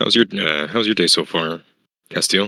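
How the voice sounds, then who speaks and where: A man speaks in a put-on, raspy character voice at a fairly low pitch. His pace is moderate, with ordinary pitch variation. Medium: actual play.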